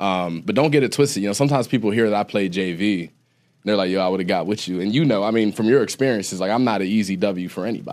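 On a very clean recording with a silent background, a man talks very fast at fairly low pitch with ordinary pitch variation. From Ohio. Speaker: podcast host and former college football player. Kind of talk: casual chat.

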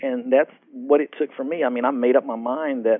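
A man speaks at a moderate pace with a Texan accent. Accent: Texan American. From Texas, Fort Worth. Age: 40s. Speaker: motivational speaker. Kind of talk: interview. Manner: halting, frequent fillers.

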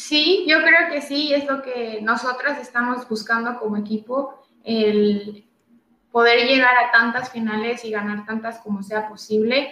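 A woman with a plain, everyday voice talks fairly slowly, her fairly high pitch showing ordinary variation. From Tijuana, Baja California, Mexico. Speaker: professional footballer. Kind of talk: interview. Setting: live stream.

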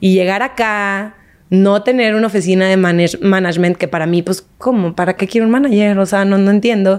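A woman speaks in a normal speaking voice at a medium pitch, with fairly even intonation, very even loudness and a fairly quick pace. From Mexico, Monterrey. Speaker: actress and TV presenter. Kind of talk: interview, casual chat.

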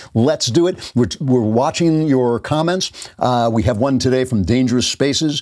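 A man talks at a moderate pace with hardly any pauses, at a medium pitch and very even loudness. He has a plain, everyday voice with ordinary pitch variation. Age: 60s. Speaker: political talk show host. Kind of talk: political commentary monologue.

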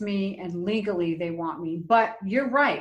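A woman talks in a normal speaking voice at a medium pitch. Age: 60s. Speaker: dating coach and minister. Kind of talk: interview conversation.

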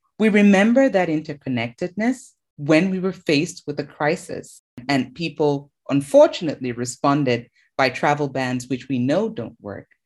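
A woman speaks with a very deep, low pitch and lively intonation. Her pace is moderate against a quiet background. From Cameroon. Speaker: infectious diseases doctor. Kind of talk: interview.

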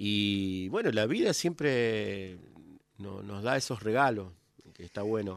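The speech moves at a very slow pace with ordinary pitch variation and big swings in loudness. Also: man, fairly low pitch for a man. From Argentina, Coronda (Santa Fe). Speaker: folk singer and multi-instrumentalist. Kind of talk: radio interview. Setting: radio studio.

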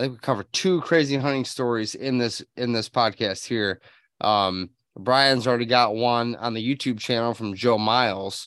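A man speaks in an unremarkable speaking voice with ordinary pitch variation. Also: medium pitch for a man, moderate pace. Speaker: podcast host, habitat consultant. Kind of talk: casual interview. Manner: frequent filler um.

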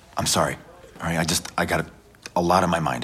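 A man performs a put-on character voice at a very deep, low pitch. His delivery is raspy and comes at a moderate pace. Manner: anxious, evasive, apologetic.

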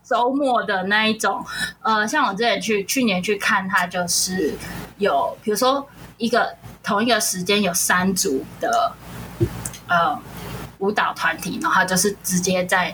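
Amid noticeable background noise, a woman at a medium pitch speaks fairly slowly with lively intonation and long, frequent pauses. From Kaohsiung, southern Taiwan. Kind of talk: casual chat. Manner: laughs often.

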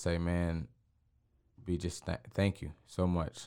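A man speaks with an American accent. His pitch is very deep and low. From Texas, Waco. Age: young. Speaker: basketball team owner. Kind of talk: casual interview.

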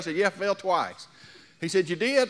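A man talks at a fairly quick pace in an animated tone. His pitch is high. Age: 60s. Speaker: pastor. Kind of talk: sermon. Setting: church with congregation.

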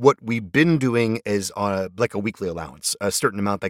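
In a normal speaking voice, a man talks at a fairly quick pace with fairly low pitch. The recording is very clean and dry, close with no echo and a silent background. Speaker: podcast host. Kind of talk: casual host commentary and ad reads. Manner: friendly, chatty, conversational.

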